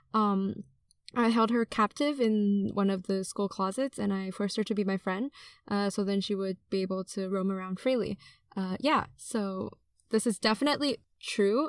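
With an unremarkable speaking voice, a woman talks at a medium pitch and moderate pace with ordinary pitch variation, the sound dry and close with no echo in a very clean recording over a silent background. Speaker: student podcast co-host. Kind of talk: casual chat.

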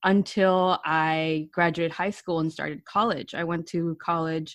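Over a quiet background, a woman with an unremarkable speaking voice talks at a moderate pace, with a fairly low pitch and ordinary pitch variation. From New York City, the Bronx. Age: 20s. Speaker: software engineer. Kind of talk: interview conversation.

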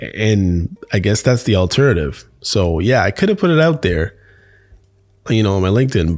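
Here is a man with an unremarkable speaking voice and a fairly low pitch. He talks at a moderate pace with lively intonation. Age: 50s. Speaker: podcast host. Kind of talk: casual monologue. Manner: casual, laughs often.

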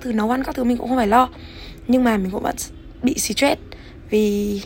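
A woman talks with ordinary pitch variation while background noise comes through noticeably. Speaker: podcast host. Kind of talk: casual monologue.

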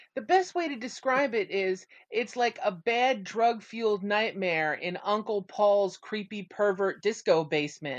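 An ordinary speaking voice, fairly slow, with lively intonation. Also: woman, medium pitch for a woman. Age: 40s. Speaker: guest. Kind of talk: casual chat.

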